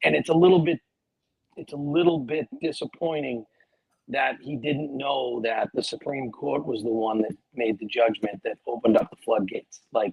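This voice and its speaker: A man of medium pitch talks in a plain, everyday voice at a moderate pace with ordinary pitch variation. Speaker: podcast co-host. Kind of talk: casual chat.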